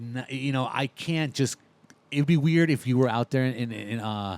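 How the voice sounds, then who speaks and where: A man with an animated tone, medium pitch and ordinary pitch variation speaks at a fairly slow pace with long, frequent pauses, his sound dry and close with no echo. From Southern California (Orange County). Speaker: podcast host. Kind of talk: casual chat.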